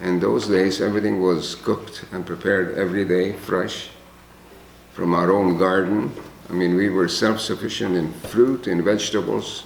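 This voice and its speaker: This man has a Hungarian accent and a very deep, low pitch. He talks at a moderate pace with fairly even intonation, and room echo can be heard. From Czechoslovakia, ethnic Hungarian. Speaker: Holocaust survivor. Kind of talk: testimony.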